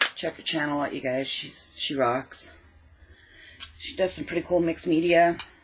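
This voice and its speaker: Noticeable background noise sits behind a woman with a very deep, low pitch. She mumbles with fairly even intonation. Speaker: crafting vlogger. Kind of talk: casual craft vlog chat. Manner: mumbling.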